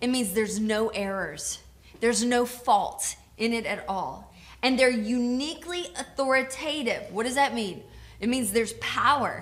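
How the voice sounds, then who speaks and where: With an American accent, a woman speaks in a high voice with lively intonation. Audible room echo surrounds her. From US South (Georgia). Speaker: pastor. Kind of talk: co-taught sermon.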